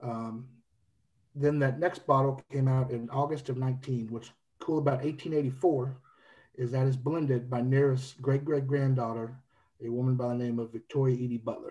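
Against a quiet background, a man speaks at a moderate pace in a monotone, flat intonation, his voice dark, mellow and somewhat breathy. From Kentucky, Louisville. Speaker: whiskey brand representative; guest. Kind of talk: casual podcast chat. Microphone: earbuds.

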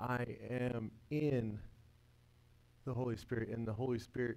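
A man talks at a fairly slow pace with long, frequent pauses. His tone is dark and mellow, with very even loudness and fairly even intonation. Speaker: workshop teacher. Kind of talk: religious lecture; lecture. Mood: earnest, devotional. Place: classroom.

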